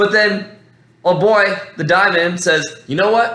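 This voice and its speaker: A man with an American accent speaks in a bright, sharp tone. Room echo is audible. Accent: American-sounding voice. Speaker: MMA fan commentator. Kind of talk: casual fight breakdown monologue. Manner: rambling, halting with many fillers.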